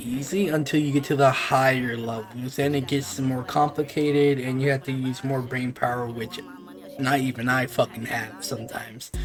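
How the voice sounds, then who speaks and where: Man with a fairly high pitch, talking at a moderate speed against noticeable background noise. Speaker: gaming YouTuber. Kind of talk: gaming tutorial. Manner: casual.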